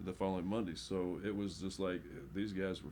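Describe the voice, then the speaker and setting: A man with a very deep, low pitch and a dark, mellow tone speaks at a fairly quick pace with vocal fry. Audible room echo surrounds the voice. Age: 60s. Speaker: football coach. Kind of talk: casual chat.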